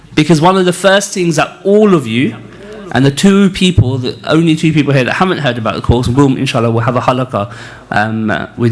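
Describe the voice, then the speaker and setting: Lively intonation marks a man's fairly quick speech, with noticeable background noise behind it. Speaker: spiritual teacher leading a retreat. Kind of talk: religious lecture. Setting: retreat hall with live audience, also streamed on video call. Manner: halting, many fillers.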